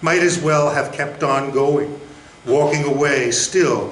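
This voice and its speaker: Noticeable background noise surrounds a man speaking at a fairly slow pace. His pitch is fairly high, with ordinary variation. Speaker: poet, former state poet laureate. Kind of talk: poetry reading at a live literary event.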